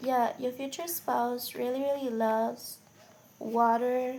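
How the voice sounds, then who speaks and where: Her pitch is high. The woman speaks at a very slow pace. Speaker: tarot reader. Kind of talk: tarot reading. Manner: quiet; casual, conversational.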